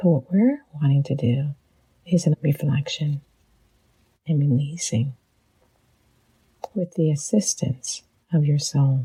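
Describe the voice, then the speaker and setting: A woman speaks at a fairly slow pace with a very deep, low pitch and ordinary pitch variation. Her tone is gentle, dark and mellow, and somewhat breathy. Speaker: psychologist and leadership coach. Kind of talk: guided reflection. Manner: gentle, slow.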